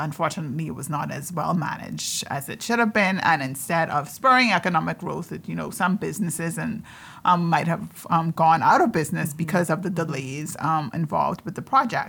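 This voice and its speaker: With vocal fry and lively intonation, a woman speaks at a moderate pace in a fairly low pitch. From Bahamas, Andros. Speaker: investment manager. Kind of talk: panel discussion. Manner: hesitant, many fillers.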